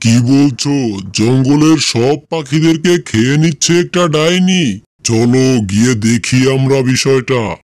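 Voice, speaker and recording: A cartoonish character voice speaks at a fairly slow pace. Its loudness stays very even. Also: man, medium pitch for a man. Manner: bold, challenging.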